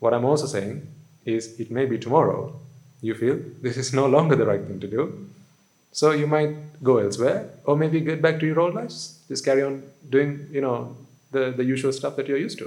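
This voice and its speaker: A man at a medium pitch and a fairly quick pace, with ordinary pitch variation and audible room echo. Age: 30s. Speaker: Buddhist monk. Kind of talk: sermon. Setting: hall with live audience.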